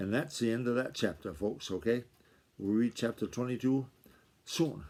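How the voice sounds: A natural reading voice.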